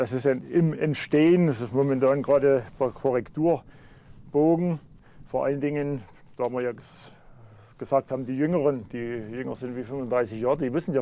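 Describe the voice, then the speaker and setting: A man talks at a moderate pace in a medium pitch. His tone is dark and mellow, with fairly even intonation. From Upper Franconia, Lauenstein/Ludwigsstadt area near Thuringian border. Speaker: local historian, author. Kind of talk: interview. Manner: halting.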